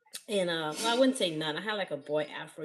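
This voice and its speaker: A woman speaks at a very fast pace in a fairly low pitch. Her intonation is lively. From Africa. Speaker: hair care business owner. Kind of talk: live-stream sales pitch. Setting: live stream. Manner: animated.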